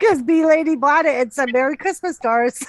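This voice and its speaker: A woman with a Boston accent and ordinary pitch variation. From Massachusetts, Lowell area. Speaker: live stream co-host. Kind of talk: casual chat. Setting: live stream.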